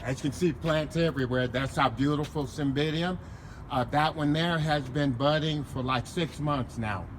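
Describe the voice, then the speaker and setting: A man speaks at a moderate pace with fairly high pitch and fairly even intonation. His voice is somewhat breathy. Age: 70s. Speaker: home gardener. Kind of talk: interview. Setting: outdoors.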